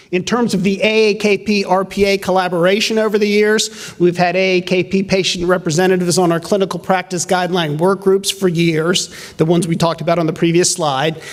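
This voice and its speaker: Noticeable background noise sits behind a man speaking at a high pitch, fairly quickly and with hardly any pauses. His intonation is monotone and flat, and his loudness stays very even. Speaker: representative of a physicians' association. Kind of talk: conference presentation. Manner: fast.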